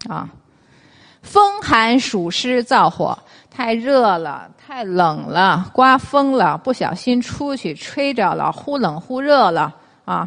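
Pausing long and often, a woman speaks very slowly at fairly high pitch, her voice swinging very widely in pitch. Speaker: traditional Chinese medicine lecturer. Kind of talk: lecture. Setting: stage with audience.

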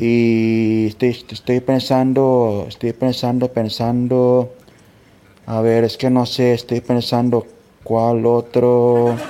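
Very slowly, a man speaks in a dark, mellow tone, his intonation monotone and flat and his loudness very even. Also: medium pitch for a man. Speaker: fellow podcaster sending a greeting. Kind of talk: recorded congratulatory message. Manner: hesitant, searching for words.

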